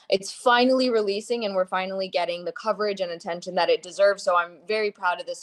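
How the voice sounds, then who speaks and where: A woman with a New Jersey accent, very fast with hardly any pauses, dry, close sound and no echo. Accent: American (New Jersey). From US, New Jersey. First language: Gujarati. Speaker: actress. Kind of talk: interview.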